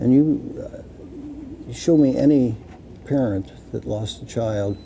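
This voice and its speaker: A man with an American accent at a fairly slow pace, with big swings in loudness and noticeable background noise. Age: 70s. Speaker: retired police officer, drug policy activist. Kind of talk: interview.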